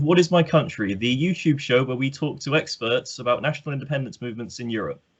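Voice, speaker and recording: Somewhat breathy and at a very fast pace, the speech has lively intonation, hardly any pauses, and big swings in loudness. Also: man. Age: 20s. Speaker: podcast host, PhD student. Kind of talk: interview. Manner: hesitant, many ums.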